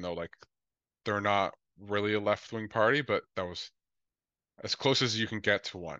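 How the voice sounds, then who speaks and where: Against a quiet background, a man with a fairly low pitch and a bright, sharp tone speaks with fairly even intonation in a dry sound with no echo. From born in Colombia, raised mainly in Lethbridge, Alberta; Alberta, Canada. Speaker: socialist activist and former election candidate; interview guest. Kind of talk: interview. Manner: casual, many filler words. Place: home room. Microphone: video call.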